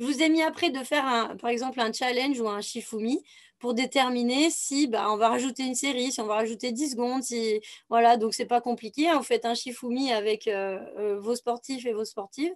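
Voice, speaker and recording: Her voice is high for a woman, with ordinary pitch variation. She keeps a moderate pace. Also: quiet background. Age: 30s. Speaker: physical trainer. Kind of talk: online workshop presentation. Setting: video call. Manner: hesitant with fillers.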